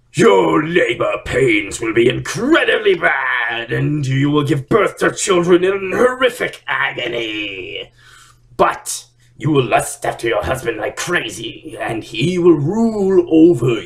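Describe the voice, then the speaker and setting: In a bellowing, put-on character voice, a man speaks at a fairly slow pace with a high pitch. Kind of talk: comic overacting. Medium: solo performance. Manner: bellowing, comic overacting.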